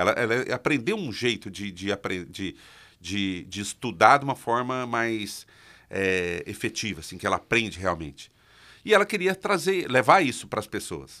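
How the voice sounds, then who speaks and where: A man with a bright, sharp tone, very wide pitch swings and big swings in loudness at a moderate pace, against a quiet background. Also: medium pitch for a man. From Minas Gerais, Brazil (interior). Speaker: public speaking coach. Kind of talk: interview. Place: studio. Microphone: studio mic.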